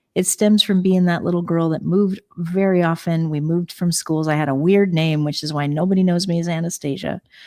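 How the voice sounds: The pace is fairly quick, with few pauses. Intonation stays fairly even, and the tone is slightly mellow. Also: woman, fairly low pitch for a woman.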